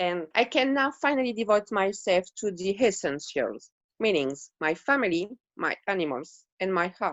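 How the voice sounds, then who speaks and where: In a French accent, a woman at medium pitch talks at a moderate pace with very wide pitch swings. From Montpellier, South of France. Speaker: artist, former dog groomer. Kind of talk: interview answer.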